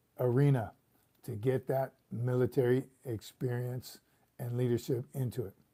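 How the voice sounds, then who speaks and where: A somewhat breathy man with an American accent, medium pitch, a dark, mellow tone and fairly even intonation, on a very clean recording with a silent background. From California. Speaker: retired Marine sergeant major, livestream host. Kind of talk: casual livestream chat.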